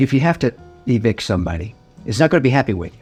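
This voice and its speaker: Talking at a very fast pace with very wide pitch swings, this speaker has an American accent, and music plays in the background. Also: man. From Oklahoma, USA. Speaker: attorney. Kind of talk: casual informational talk to camera.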